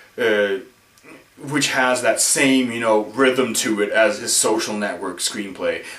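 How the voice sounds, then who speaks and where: A man talks with ordinary pitch variation over noticeable background noise, his voice carrying an audible room echo. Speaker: film vlogger. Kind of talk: casual video blog. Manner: slurring.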